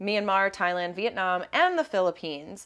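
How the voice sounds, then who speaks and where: A woman at a moderate pace with ordinary pitch variation, against a quiet background. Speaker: podcast co-host. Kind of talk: casual chat. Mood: playful, amused. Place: home room. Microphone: lapel.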